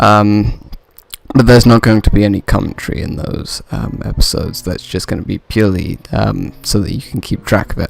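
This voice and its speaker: Speaking quietly at a fairly quick pace, a man uses lively intonation at a fairly low pitch. Noticeable background noise is present. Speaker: gaming video commentator. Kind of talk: let's play commentary. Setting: home recording at night. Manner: quiet, keeping voice down; hesitant, many fillers.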